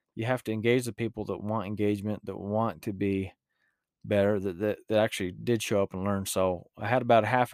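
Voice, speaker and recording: A man with a rural Utah accent talks at a fairly quick pace in a relaxed tone at fairly low pitch, with monotone, flat intonation. The sound is dry and close with no echo, on a very clean recording with a silent background. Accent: rural Utah, western US. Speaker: mule trainer and podcaster. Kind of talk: casual podcast monologue. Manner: relaxed, filler-heavy.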